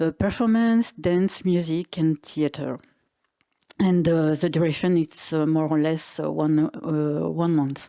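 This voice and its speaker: This woman has a very deep, low pitch and a dark, mellow tone. She talks at a fairly slow pace, with ordinary pitch variation and very even loudness. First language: French and Italian. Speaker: artistic director. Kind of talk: panel discussion. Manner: halting, searching for words.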